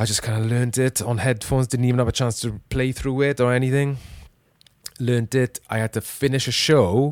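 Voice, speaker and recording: Recorded dry and close with no echo, a man with a strong Welsh accent talks fairly quickly at a medium pitch, his intonation fairly even. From Wales. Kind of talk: casual chat, podcast. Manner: jokey, relaxed.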